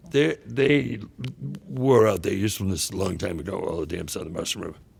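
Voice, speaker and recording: Over noticeable background noise, a man speaks fairly quickly at a fairly low pitch with very wide pitch swings. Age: 70s. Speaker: river conservationist. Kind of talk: interview conversation. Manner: halting.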